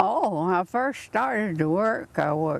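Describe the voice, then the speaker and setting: This woman has a Southern US accent and a medium pitch, with very wide pitch swings. Noticeable background noise runs under her voice. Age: 80s+. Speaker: centenarian birthday celebrant. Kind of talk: casual chat. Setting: outdoors.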